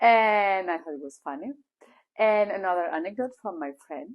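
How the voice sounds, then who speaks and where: A woman with a Spanish accent and medium pitch, in a very clean recording with a silent background. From Spain. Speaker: language teacher. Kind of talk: casual vlog talk. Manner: loud.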